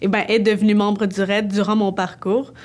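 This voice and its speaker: Here a woman talks at a moderate pace. Her pitch is fairly high. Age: 20s. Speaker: dance student. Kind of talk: personal testimony. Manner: hesitant, with fillers.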